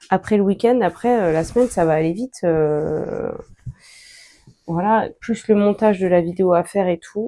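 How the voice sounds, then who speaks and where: At a moderate pace, a woman speaks at medium pitch with ordinary pitch variation and a dark, mellow tone. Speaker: sewing vlogger. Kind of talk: casual vlog talk while sewing. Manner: chatty, hesitant with many fillers.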